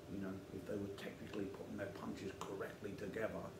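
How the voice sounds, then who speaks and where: Noticeable background noise sits behind a man who talks at a fairly quick pace. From England, London. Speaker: YouTube channel host, bare-knuckle fighter. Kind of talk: casual monologue to camera. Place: studio.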